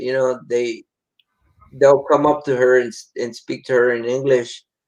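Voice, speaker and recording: The speaker has a strong Mexican accent and talks in a monotone, flat intonation. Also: man. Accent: thick Mexican. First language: Spanish. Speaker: podcast co-host. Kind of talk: casual chat.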